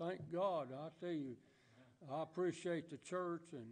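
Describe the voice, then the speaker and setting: In a Southern US accent, a man talks with fairly even intonation. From US South. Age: 80s+. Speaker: church member. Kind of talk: testimony. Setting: church. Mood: earnest, grateful. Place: church.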